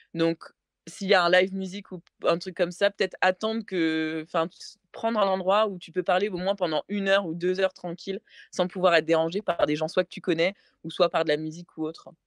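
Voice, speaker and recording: With a dry, close sound and no echo, a woman speaks at a fairly quick pace and medium pitch in a monotone, flat intonation, her loudness swinging widely. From France. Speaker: interview guest sharing dating story. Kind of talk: casual podcast chat. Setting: podcast. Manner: hesitant, many fillers.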